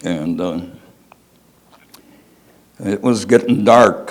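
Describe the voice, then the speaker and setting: Someone with an American accent speaks at a very slow pace. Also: man. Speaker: war veteran. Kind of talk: personal storytelling to an audience.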